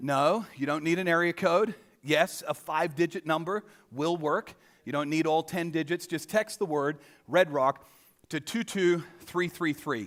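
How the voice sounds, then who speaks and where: Heard in a very clean recording with a silent background, a man with a fairly high pitch talks at a fairly slow pace with ordinary pitch variation. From Australia. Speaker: pastor. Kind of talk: sermon. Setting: church stage with audience. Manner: casual, conversational.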